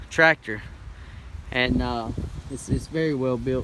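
Noticeable noise runs in the background. Against it, a man speaks at a moderate pace. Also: dry sound with no echo. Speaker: tractor owner. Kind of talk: casual product walkaround. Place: open country. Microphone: phone near.

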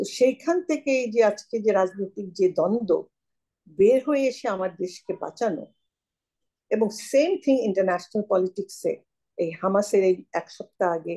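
A dark, mellow female voice with lively intonation over a quiet background. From Bangladesh. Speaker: newspaper editor. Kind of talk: casual chat. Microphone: video call.

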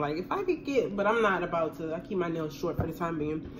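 Speaking at a moderate pace, a woman with a fairly low voice comes through over light background noise. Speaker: vlogger. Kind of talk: casual vlog chat while eating. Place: kitchen. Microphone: phone near.

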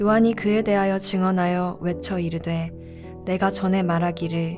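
A woman's fairly low-pitched, monotone, flat delivery at a fairly slow pace, with music in the background. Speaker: church youth narrator reading scripture and evening prayer. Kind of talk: evening prayer narration with scripture reading.

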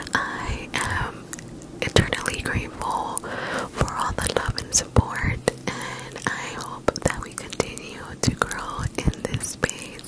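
Over loud background noise, a soft-spoken woman talks at a very slow pace in a dry sound with no echo. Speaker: ASMR creator. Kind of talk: casual vlog chat, soft ASMR outro. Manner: soft close-miked ASMR voice. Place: home room. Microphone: handheld.

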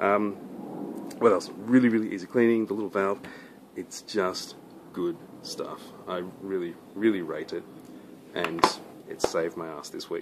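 With noticeable background noise, a man speaks at a moderate pace, leaving long, frequent pauses. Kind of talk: casual vlog chat. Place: garden. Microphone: phone near.

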